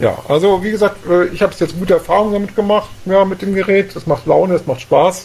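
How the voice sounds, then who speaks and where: Speaking at a very fast pace over noticeable background noise, a man with a high pitch keeps his intonation fairly even. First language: German. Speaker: podcast co-founder and co-host. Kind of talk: casual chat.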